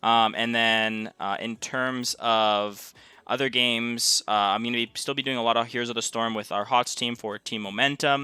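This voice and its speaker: A man speaks at a moderate pace with a medium pitch and a bright, sharp tone, his intonation flat and monotone. The sound is dry and close with no echo, the recording very clean over a silent background, and he hardly pauses at all. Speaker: streamer and gaming content creator. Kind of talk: live stream pack opening commentary. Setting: live stream. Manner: casual, relaxed.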